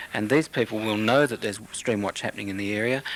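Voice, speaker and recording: A man's medium-pitched voice, fairly even in intonation, with noticeable background noise. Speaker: water quality program spokesperson. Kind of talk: radio interview answer.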